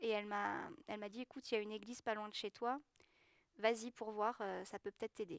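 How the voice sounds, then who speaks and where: A woman with a fairly high pitch speaks with fairly even intonation in a dry, close sound with no echo. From southwest France, Gers. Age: 20s. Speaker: schoolteacher giving baptism testimony. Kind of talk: testimony. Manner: hesitant, many fillers.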